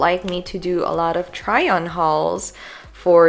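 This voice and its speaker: Noticeable background noise sits behind a woman with a Filipino accent speaking at a fairly low pitch and a fairly slow pace. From Philippines. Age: 20s. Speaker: lifestyle vlogger. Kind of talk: casual voiceover chat.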